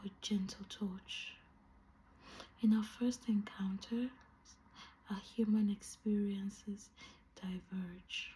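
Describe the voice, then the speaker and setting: His tone dark and mellow, a man speaks very slowly at a high pitch in a monotone, flat delivery. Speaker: ASMR creator. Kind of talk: soft book reading for relaxation.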